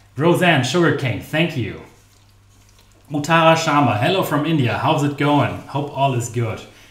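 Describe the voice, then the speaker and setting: Amid audible room echo, a man talks at a moderate pace with a fairly high pitch and ordinary pitch variation. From Germany. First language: German. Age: 30s. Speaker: baking channel host. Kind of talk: live stream baking tutorial. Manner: casual, chatty.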